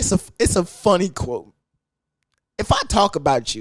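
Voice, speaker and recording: With very wide pitch swings, a man speaks in a high, animated voice. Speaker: podcast host. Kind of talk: casual solo podcast talk.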